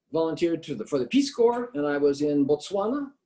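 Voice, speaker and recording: His tone is dark and mellow, with lively intonation. The man speaks at a moderate pace. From California, Bakersfield. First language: Italian. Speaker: political candidate. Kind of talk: candidate interview. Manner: hesitant, many fillers.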